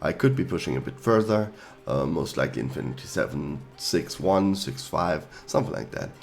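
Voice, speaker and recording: A man speaks at a very deep, low pitch with very wide pitch swings. He keeps a moderate pace over music in the background. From Germany. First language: German. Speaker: gaming YouTuber. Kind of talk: tutorial. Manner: hesitant, with fillers.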